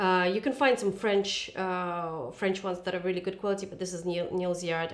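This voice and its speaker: Fairly even intonation from a woman at a moderate pace. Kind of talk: cooking tutorial chat. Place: kitchen.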